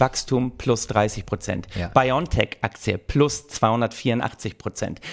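The sound is dry and close with no echo. A man's intonation moves in a lively way. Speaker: podcast co-host. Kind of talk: satirical casual chat.

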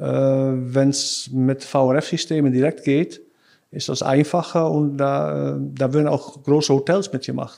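With a Dutch accent, a man talks at a very slow pace in a fairly high pitch and with fairly even intonation. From Netherlands, Rotterdam area. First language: Dutch (speaking German). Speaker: sales engineer. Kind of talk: casual interview. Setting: office. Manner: halting.

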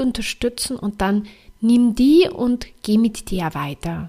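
A woman speaks at a high pitch. Her voice moves through very wide pitch swings. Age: 30s. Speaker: podcast host and life coach. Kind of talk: motivational monologue.

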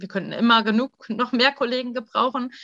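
At a moderate pace, a woman speaks in a bright, sharp tone with monotone, flat intonation, and the sound is dry and close with no echo. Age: 30s. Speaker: pediatric intensive care nurse. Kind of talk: interview.

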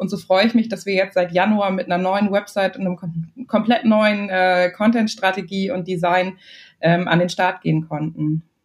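Over music in the background, a woman talks at a moderate pace and a medium pitch. Her intonation stays fairly even. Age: 20s. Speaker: marketing and communications manager. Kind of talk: interview.

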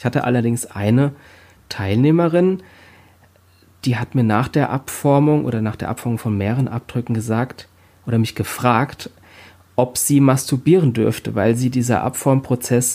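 A man with a medium pitch and a dark, mellow tone speaks at a moderate pace with ordinary pitch variation. Long, frequent pauses break up his speech on a very clean recording with a silent background. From Rhein-Main area, Germany. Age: 40s. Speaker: body art artist. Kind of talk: interview. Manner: halting, many fillers.

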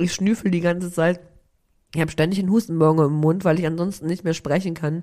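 Speaking at a very fast pace, a woman has a fairly low pitch, a dark, mellow tone, and monotone, flat intonation. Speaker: podcast host. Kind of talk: casual chat. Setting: remote recording from her office.

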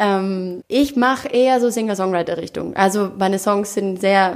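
The speaker is a woman with a medium pitch. She talks at a fairly slow pace with ordinary pitch variation. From Austria. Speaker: singer and actress. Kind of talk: interview. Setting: living room.

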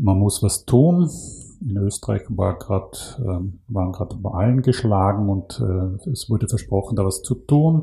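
Speaking at a fairly slow pace, a man with a fairly low pitch has a dark, mellow, somewhat breathy tone and lively intonation. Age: 50s. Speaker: climate initiative program manager. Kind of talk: interview. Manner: halting.

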